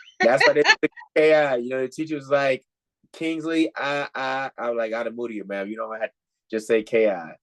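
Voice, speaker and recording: A man with a slight Nigerian accent, fairly quick pace and ordinary pitch variation, in a dry, close sound with no echo. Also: medium pitch for a man. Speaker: life coach. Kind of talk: podcast interview.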